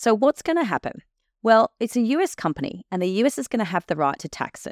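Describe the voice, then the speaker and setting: On a very clean recording with a silent background, a woman with an Australian accent speaks with very wide pitch swings. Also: dry, close sound with no echo. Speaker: podcast host, tax accountant. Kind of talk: educational explainer.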